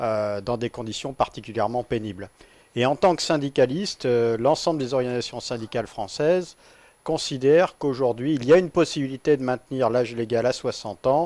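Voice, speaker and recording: A man talks at a fairly quick pace, medium in pitch with ordinary pitch variation, in an ordinary speaking voice. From central France (Nevers, Massif central). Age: 40s. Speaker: trade unionist, railway worker. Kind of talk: radio interview. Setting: studio.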